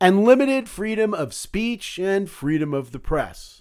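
A fairly slow pace with very wide pitch swings, in a very clean recording with a silent background. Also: man. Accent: American. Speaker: podcast host; medical doctor. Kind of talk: political commentary monologue. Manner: sarcastic.

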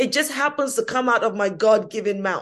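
With a London accent, a woman speaks at a moderate pace in a high pitch, her tone animated, bright and sharp. The background stays quiet. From England, East London (Hackney). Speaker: activist and political commentator. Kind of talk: interview.

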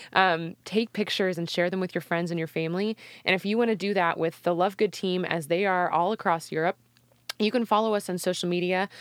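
An ordinary speaking voice from a woman at medium pitch, fairly quick in pace and fairly even in intonation, with a dry, close sound and no echo. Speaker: podcast team member reading sponsor messages. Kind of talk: scripted promo read.

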